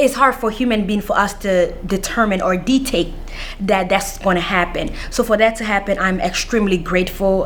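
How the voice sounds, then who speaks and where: A woman of medium pitch speaks at a moderate pace with ordinary pitch variation, and background noise is noticeable. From Washington DC (Anacostia), born Central African Republic. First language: not English (English is fifth language). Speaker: counselor, scholarship recipient. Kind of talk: interview. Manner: halting, many fillers.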